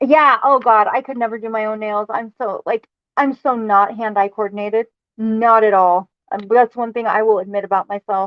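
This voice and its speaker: A woman with an ordinary speaking voice and a fairly high pitch talks at a moderate pace with fairly even intonation. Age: 30s. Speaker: livestreamer. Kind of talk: casual chat.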